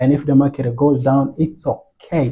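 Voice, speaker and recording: Speaking slowly-ish at a fairly slow pace, a man with a non-native accent has a fairly high, somewhat breathy voice. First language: not English. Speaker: forex trading educator. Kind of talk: tutorial. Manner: casual, halting with fillers.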